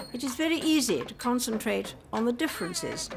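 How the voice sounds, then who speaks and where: This woman's fairly high-pitched voice moves at a moderate pace, with music in the background. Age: 80s+. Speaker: monarch giving a televised address. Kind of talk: formal royal address.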